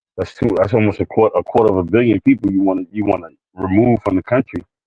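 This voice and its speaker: In a New York accent, a man talks at a fairly quick pace with a fairly low pitch. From New York City, the Bronx. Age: 40s. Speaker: livestream co-host. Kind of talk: casual talk monologue. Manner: halting, many fillers and repeats.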